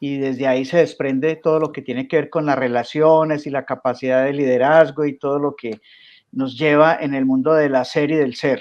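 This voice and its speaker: A man with a Colombian paisa accent, fairly high pitch and monotone, flat intonation at a moderate pace. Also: quiet background. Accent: Colombian coffee-region (paisa). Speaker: coach and emotional intelligence teacher. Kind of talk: interview.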